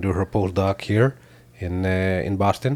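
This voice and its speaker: A man with an Israeli accent and fairly even intonation. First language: Hebrew. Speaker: tech company founder and CEO. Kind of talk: interview. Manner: hesitant, many fillers.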